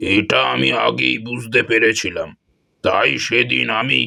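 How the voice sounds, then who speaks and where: In a cartoonish character voice, a man speaks very slowly, raspy and at a medium pitch. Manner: gruff, commanding.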